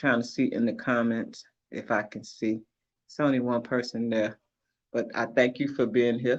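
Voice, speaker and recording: A man speaks in an American accent at a medium pitch and moderate pace. His intonation is monotone and flat, against a quiet background. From Chicago. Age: 50s. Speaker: livestream host. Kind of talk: casual chat. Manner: laid-back, conversational.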